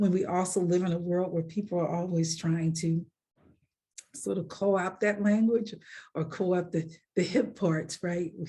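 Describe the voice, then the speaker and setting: A woman speaks at a fairly low pitch, somewhat breathy. Her intonation stays fairly even at a moderate pace. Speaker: author. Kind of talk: interview.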